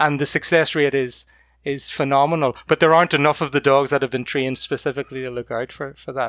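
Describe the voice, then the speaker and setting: Speaking at a very fast pace in a Northern Irish accent, a man with a fairly high pitch keeps a monotone, flat intonation in a very clean recording with a silent background and a dry, close sound with no echo. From County Antrim, Northern Ireland. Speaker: guest, puppy raiser. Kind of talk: casual interview chat.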